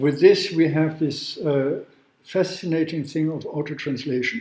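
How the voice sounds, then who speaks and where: Fairly high-pitched, a man speaks at a fairly slow pace with ordinary pitch variation, and audible room echo surrounds him. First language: not English. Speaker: law professor. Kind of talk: lecture. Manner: halting.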